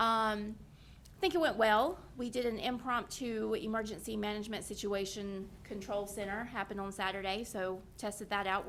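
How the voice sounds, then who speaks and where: Audible room echo surrounds a woman's voice. She speaks at a fairly high pitch with fairly even intonation. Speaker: county events staff. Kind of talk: public meeting update. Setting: county board meeting, microphone. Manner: loud.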